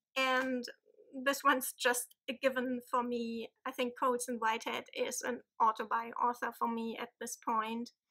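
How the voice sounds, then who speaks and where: A woman with a German accent speaks at a moderate pace in a high, bright, sharp voice. Her intonation is monotone and flat, and the background is quiet. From Germany. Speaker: book vlogger. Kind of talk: casual vlog. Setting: home. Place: home room. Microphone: phone near.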